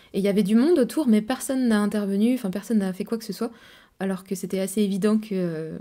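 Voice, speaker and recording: Very fast speech in a dark, mellow tone, with ordinary pitch variation over a quiet background. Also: woman. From France. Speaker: travel vlogger. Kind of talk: casual monologue to camera. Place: home room. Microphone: studio mic.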